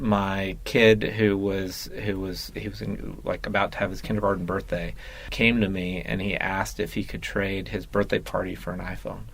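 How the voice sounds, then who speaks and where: A man speaks at a moderate pace with hardly any pauses. The room echo is audible. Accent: American. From Texas and Mexico. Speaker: app company founder. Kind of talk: interview. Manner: halting.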